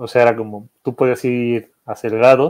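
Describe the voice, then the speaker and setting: A man's medium-pitched voice over a quiet background. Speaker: guest. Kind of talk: casual chat. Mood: relaxed, reflective. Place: home room.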